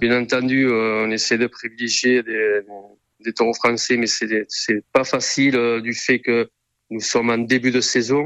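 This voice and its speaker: Very slow and monotone, a man speaks with flat intonation in a medium pitch. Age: 50s. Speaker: bullfighting club president. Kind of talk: radio interview. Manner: halting, many hesitations.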